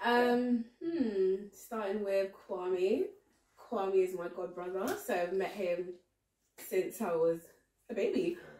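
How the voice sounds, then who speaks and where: Speaking at a very slow pace with long, frequent pauses, a woman uses a medium pitch and ordinary pitch variation. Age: 20s. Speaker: friend of host. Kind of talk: casual chat.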